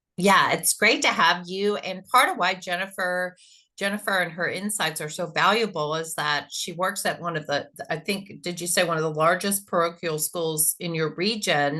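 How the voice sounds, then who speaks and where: A woman with a Texas accent speaks at a fairly low pitch with a bright, sharp tone and ordinary pitch variation, over a quiet background. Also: moderate pace. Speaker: content strategist. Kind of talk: panel discussion.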